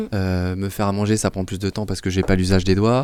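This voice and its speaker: A man speaks with a very deep, low pitch and a dark, mellow tone. The sound is dry and close, with no echo. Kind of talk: discussion show. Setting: studio. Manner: fast.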